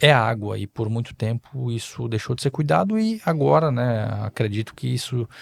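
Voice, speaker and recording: A man's medium-pitched voice comes through with a dry, close sound and no echo. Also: very clean recording, silent background. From southern Brazil, Balneário Camboriú (Santa Catarina). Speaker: politician and investor. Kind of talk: podcast interview. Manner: halting, with filler hesitations.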